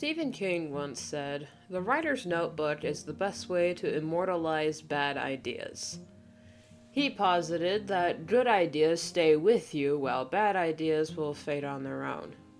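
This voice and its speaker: There is music in the background. A woman speaks with lively intonation at a fairly low pitch. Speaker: writer and artist. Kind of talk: video essay narration. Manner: casual, chatty.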